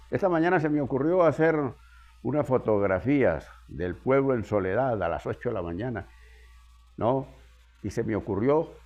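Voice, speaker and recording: Over music in the background, a man speaks at a moderate pace with lively intonation. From Venezuela, Andes (Zea, Mérida state). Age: 80s+. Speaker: geographer and local historian. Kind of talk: interview. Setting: at his home.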